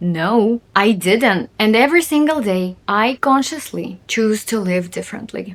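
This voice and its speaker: Using lively intonation and a fairly high pitch, a woman with a Russian accent speaks at a fairly slow pace with hardly any pauses. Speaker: video blogger. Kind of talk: casual monologue to camera. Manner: animated.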